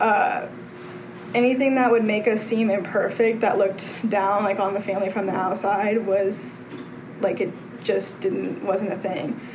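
In an American accent, a woman of medium pitch speaks at a fairly slow pace with fairly even intonation, with noticeable background noise and audible room echo. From Texas. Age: 20s. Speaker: recovering alcoholic speaker. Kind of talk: testimony.

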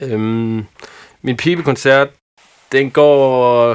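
A man speaks with fairly even intonation on a very clean recording with a silent background. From Haderslev area, Southern Jutland, Denmark. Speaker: football fan. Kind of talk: casual chat. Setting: studio. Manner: halting.

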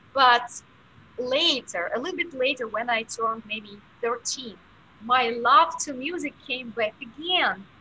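A woman's high-pitched voice with lively intonation, a very slow pace and noticeable background noise. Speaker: piano teacher and pianist. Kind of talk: interview, conversational.

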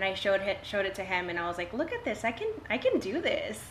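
With an American accent and a medium-pitched voice, a woman talks at a fairly quick pace over noticeable background noise. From Texas Coastal Bend. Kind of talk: casual chat. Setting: at her home.

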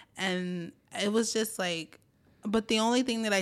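Over a silent background in a very clean recording, a woman with a New York accent speaks at a moderate pace with fairly even intonation. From New York City (Brooklyn, Staten Island). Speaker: union organizer. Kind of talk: interview.

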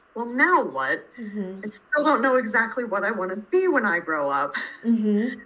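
A woman with an American accent, lively intonation and a moderate pace, plus noticeable background noise. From central Pennsylvania, US. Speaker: university lecturer. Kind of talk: interview.

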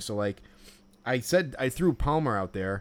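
A man speaks with an American accent. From Chicago area. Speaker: podcast co-host, baseball fan. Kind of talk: casual chat. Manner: halting, many fillers.

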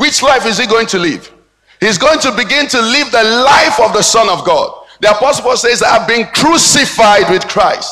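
With music in the background, a man uses a raised, projected voice at an extremely high pitch, speaking at a moderate pace with ordinary pitch variation. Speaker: pastor. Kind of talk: sermon. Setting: church.

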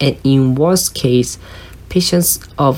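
A woman with a Japanese accent at a very slow pace, her intonation fairly even, over noticeable background noise. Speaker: podcast host. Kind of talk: solo monologue, partly read from script. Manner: halting.

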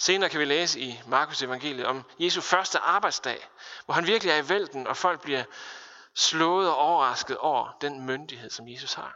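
Here is an unremarkable speaking voice from a man with fairly high pitch. His pitch variation is ordinary and his pace moderate. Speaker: pastor. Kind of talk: sermon.

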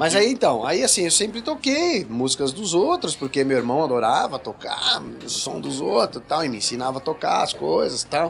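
With noticeable background noise behind him, a man talks at a moderate pace with hardly any pauses. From Brazil, São Paulo. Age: 40s. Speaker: rock singer and guitarist. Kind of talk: casual chat. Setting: studio.

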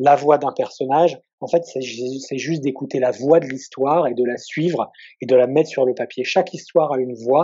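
Keeping a moderate pace and fairly even intonation, a man speaks at a medium pitch. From southeastern France near Italy. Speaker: novelist. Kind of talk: interview. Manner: halting.

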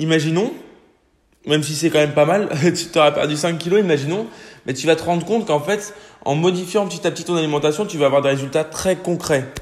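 A man at a fairly high pitch, very fast pace and ordinary pitch variation, broken by long, frequent pauses. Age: 20s. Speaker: fitness and nutrition podcaster. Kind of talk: casual solo podcast advice.

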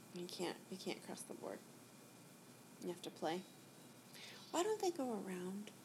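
Over noticeable background noise, a woman with an American accent talks at a moderate pace with long, frequent pauses. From USA. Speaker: magician. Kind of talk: casual chat.

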